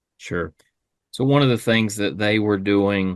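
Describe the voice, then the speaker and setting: A man is speaking. The background is quiet. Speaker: regional sales manager. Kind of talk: podcast interview answer.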